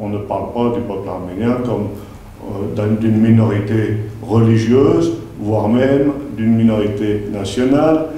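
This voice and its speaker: With audible room echo and light background noise, a man speaks at a fairly slow pace, using fairly even intonation and long, frequent pauses. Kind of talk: lecture. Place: meeting room.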